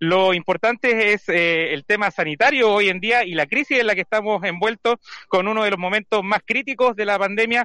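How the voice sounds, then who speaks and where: A man's raised, projected voice, high-pitched and bright and sharp in tone, with ordinary pitch variation at a moderate pace, recorded dry and close with no echo against a quiet background. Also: very even loudness. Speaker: street reporter. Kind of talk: field interview. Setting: outdoors in a town square.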